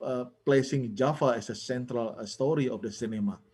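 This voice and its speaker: With a Balinese accent, a man speaks using lively intonation. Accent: Indonesian (Balinese) accented English. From Bali, Indonesia. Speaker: film scholar, panelist. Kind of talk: webinar presentation. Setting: online webinar. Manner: halting, many fillers and repetitions.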